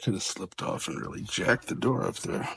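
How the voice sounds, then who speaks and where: Noticeable background noise behind a man talking at a moderate tempo. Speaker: door hardware installer. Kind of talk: tutorial. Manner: casual, self-talking.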